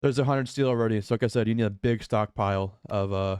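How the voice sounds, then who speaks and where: On a very clean recording with a silent background and a dry, close sound with no echo, a man talks in a plain, everyday voice at a medium pitch with ordinary pitch variation. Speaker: gaming YouTuber. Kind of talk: gameplay tutorial. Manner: repeats words, fillers.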